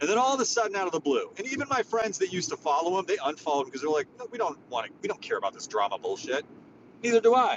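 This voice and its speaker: Loud and animated, a man speaks at a very fast pace. His high voice moves in very wide pitch swings. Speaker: social media space host. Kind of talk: casual chat. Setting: in a car.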